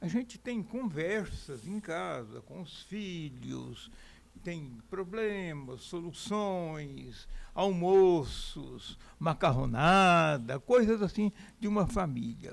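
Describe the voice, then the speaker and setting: Speaking at a very slow pace, a man uses a high voice with lively intonation and big swings in loudness. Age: 80s+. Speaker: journalist and political scientist. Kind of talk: interview. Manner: casual, conversational.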